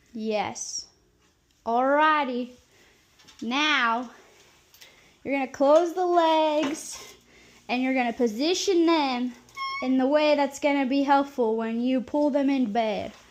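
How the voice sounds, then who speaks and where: Over noticeable background noise, a woman with an American accent uses a playful tone and high pitch with ordinary pitch variation, speaking at a very slow pace with long, frequent pauses. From Nebraska, US Midwest. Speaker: caregiver. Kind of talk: tutorial. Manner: casual, playful.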